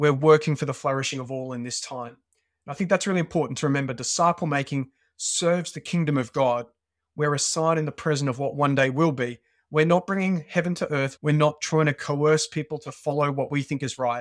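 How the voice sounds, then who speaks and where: In a very clean recording with a silent background, a man with an Australian accent talks at a fairly quick pace, with a fairly high pitch and fairly even intonation. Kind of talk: interview conversation.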